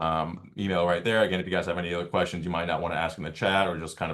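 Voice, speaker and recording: A man speaks with a very deep, low pitch and a monotone, flat intonation over a quiet background. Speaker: volleyball club program manager and coach. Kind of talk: online info meeting presentation. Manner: fast.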